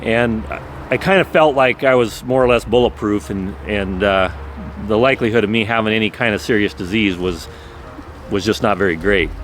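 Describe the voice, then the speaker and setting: Moderately paced male speech, fairly low in pitch with ordinary variation, amid noticeable background noise. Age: 60s. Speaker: cancer survivor sharing his story. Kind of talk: personal testimony. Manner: casual, with frequent repetitions and fillers.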